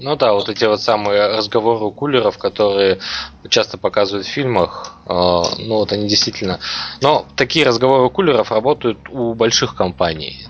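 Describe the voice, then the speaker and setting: Noticeable background noise sits behind a man speaking at a moderate pace. His pitch is fairly low, with ordinary pitch variation. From Kazakhstan, Almaty. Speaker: podcast host. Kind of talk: casual chat.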